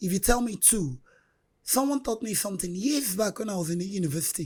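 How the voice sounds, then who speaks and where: Very fast and somewhat breathy, a woman's voice makes very wide pitch swings on a very clean recording with a silent background. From Nigeria, Anambra State. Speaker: street hawker, bereaved mother. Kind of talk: interview testimony.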